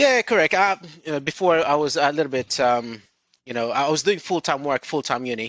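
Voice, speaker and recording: With a Filipino accent, a man with a fairly high voice speaks fairly quickly, captured with a dry, close sound with no echo. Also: lively intonation. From Philippines. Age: 30s. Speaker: recruitment director. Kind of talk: interview. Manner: hesitant, many fillers.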